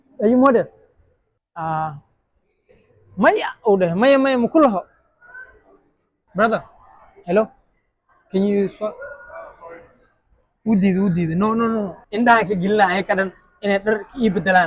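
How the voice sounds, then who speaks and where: Pausing long and often, a man speaks at a high pitch with ordinary pitch variation. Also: moderate pace. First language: Somali. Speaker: street challenge vlogger. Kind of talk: street prank challenge vlog. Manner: animated.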